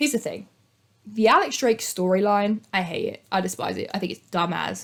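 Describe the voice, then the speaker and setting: A woman speaks with a British accent. Her tone is animated. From Britain. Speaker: youtuber. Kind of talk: casual commentary.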